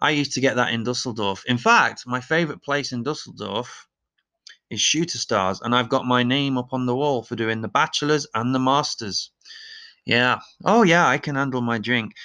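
At a moderate pace, a man with an East Midlands accent speaks at a medium pitch with ordinary pitch variation and a bright, sharp tone against a quiet background. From Leicester, England. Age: 30s. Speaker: podcast host. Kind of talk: casual opinionated monologue, comedic. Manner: opinionated, sarcastic, joking.

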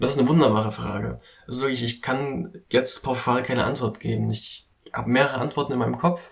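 In a relaxed tone, a man talks at medium pitch with vocal fry and ordinary pitch variation. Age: 20s. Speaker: podcast host, meditation enthusiast. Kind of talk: casual monologue. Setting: small home recording booth.

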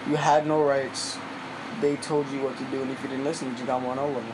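Amid noticeable background noise, a man with a fairly high pitch speaks at a fairly quick pace with fairly even intonation. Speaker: former program resident. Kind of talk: casual interview.

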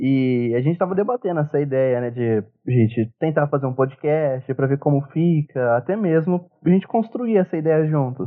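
A man in a normal speaking voice, at a moderate pace with ordinary pitch variation. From São Paulo interior, Brazil. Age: 20s. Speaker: podcast co-host, history student. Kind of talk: casual discussion.

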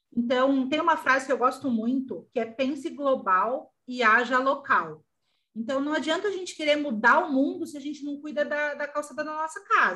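Her voice raised and projected, a woman speaks at a high pitch with a bright, sharp tone and ordinary pitch variation. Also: moderate pace, big swings in loudness. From Brazil, São Paulo. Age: 40s. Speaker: fashion designer and small business owner. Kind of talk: interview.

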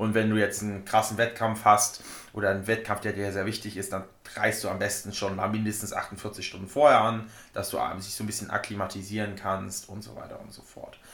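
In a room with audible echo, a man with fairly low pitch talks fairly quickly in a monotone, flat voice, his loudness swinging widely. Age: 20s. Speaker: powerlifter. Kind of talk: casual chat.

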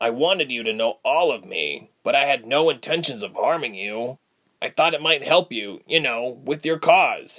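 A man puts on a gruff, raspy character voice, pitched fairly high, at a moderate pace. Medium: read story. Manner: gruff, guilt-ridden.

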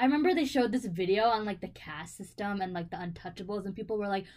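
A woman with an American accent, at a very fast pace with lively intonation. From Buffalo, New York. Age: 20s. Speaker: podcast co-host, college student. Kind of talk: casual chat.

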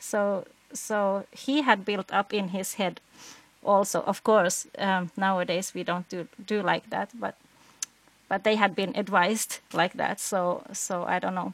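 Speaking at a fairly slow pace with a Swedish accent, a woman keeps a medium pitch and fairly even intonation, the sound dry and close with no echo. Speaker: podcast co-host. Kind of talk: casual interview chat.

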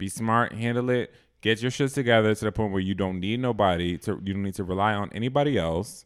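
A man with an American accent talks at a very fast pace. His pitch is fairly low with ordinary variation. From Boston. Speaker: podcast host. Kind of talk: casual chat.

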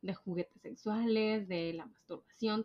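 A woman in a Monterrey accent at medium pitch, with ordinary pitch variation. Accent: northern Mexican (Monterrey) Spanish, posh. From Mexico, Monterrey. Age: 20s. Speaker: podcast co-host. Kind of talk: casual chat. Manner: posh-sounding.

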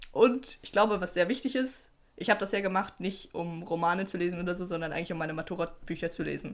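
Very fast female speech, its pitch varying in an ordinary way. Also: medium pitch for a woman. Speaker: podcast co-host. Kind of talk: casual chat.

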